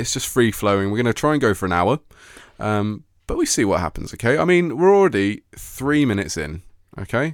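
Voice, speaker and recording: A man with a normal speaking voice talks at a fairly quick pace and medium pitch, with lively intonation. The recording is very clean, with a silent background. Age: 20s. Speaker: radio host. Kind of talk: casual chat.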